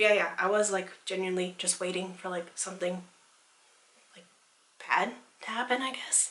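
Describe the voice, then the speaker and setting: A woman speaks at medium pitch and a moderate pace with noticeable background noise behind her. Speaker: book vlogger. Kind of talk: casual chat. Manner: casual, lots of filler words.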